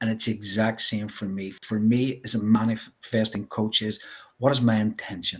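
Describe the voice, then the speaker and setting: A man's fairly low voice in a Northern Irish accent, at a moderate pace with monotone, flat intonation. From Northern Ireland, Belfast. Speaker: life coach. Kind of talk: interview.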